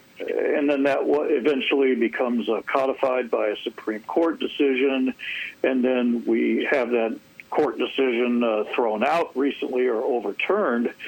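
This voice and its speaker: A man at a moderate pace with very even loudness, against noticeable background noise. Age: 60s. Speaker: public policy commentator. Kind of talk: radio interview. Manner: halting with fillers.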